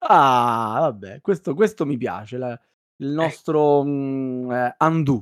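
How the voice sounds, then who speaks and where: Words come at a very slow pace. The recording is very clean and the background silent. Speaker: podcast host. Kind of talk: casual chat.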